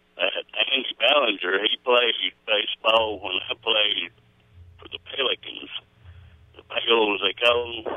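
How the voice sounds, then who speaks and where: A man's fairly slow American-accented speech, broken by long, frequent pauses. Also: big swings in loudness. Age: 60s. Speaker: caller to local radio show. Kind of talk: casual phone chat.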